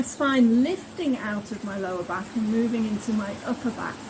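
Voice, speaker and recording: A woman talks in a calm tone at a fairly slow pace over noticeable background noise. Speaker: yoga teacher. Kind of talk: guided yoga class. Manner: instructional, calm.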